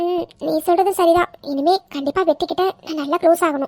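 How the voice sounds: Squeaky and extremely high-pitched, a woman performs a cartoonish character voice. She holds a moderate pace with fairly even intonation.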